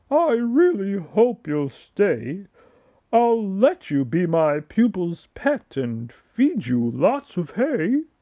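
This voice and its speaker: Using a put-on character voice, a man with a high pitch speaks very slowly, making very wide pitch swings. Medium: read story.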